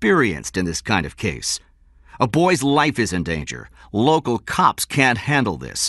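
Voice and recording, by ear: Someone is heard reading aloud in a natural voice. The text is read through in that way.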